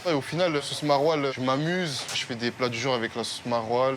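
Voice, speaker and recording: Fairly quick speech in a Parisian accent carries fairly even intonation over noticeable background noise. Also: man. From France, Paris. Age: 20s. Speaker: restaurant chef. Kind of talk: interview in kitchen.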